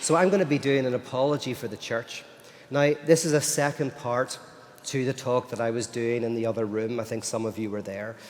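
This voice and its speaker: Noticeable background noise sits behind a man with an Irish accent. His pitch is medium with ordinary variation. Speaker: philosopher and speaker. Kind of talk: lecture. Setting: stage with audience at a festival.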